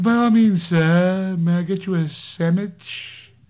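Someone performs a put-on character voice at a middle pitch and a fairly slow pace. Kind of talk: deferential, formal.

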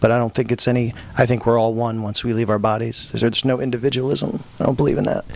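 Speaking at a very fast pace, a man with an American accent keeps a medium pitch and a flat, monotone intonation. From Pennsylvania, US. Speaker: novelist. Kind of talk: casual interview. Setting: studio.

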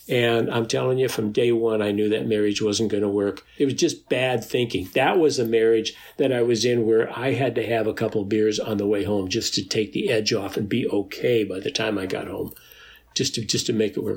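A man with a medium pitch talks at a moderate pace, his intonation fairly even. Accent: Upper Midwest. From North Dakota. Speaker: recovering alcoholic and AA sponsor. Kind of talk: interview about recovery story. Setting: video call.

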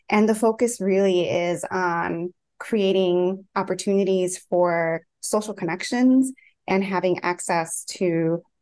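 At a fairly slow pace, a woman talks in a normal speaking voice at a medium pitch, with ordinary pitch variation. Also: quiet background. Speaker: clinical psychologist. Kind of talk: panel discussion. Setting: video call.

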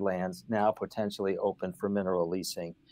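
A man with an American accent at a moderate pace. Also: very clean recording, silent background. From Western New York State. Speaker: environmental lawyer, former government official. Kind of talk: interview. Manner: halting, many fillers.

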